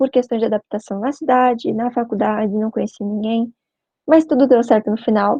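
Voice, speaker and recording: A woman speaks in an unremarkable speaking voice at a moderate pace. Her pitch is fairly high. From Brazil, Curitiba (Paraná). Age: 20s. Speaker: veterinary student and spiritist youth speaker. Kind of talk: short talk / mini-lecture. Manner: conversational, informal.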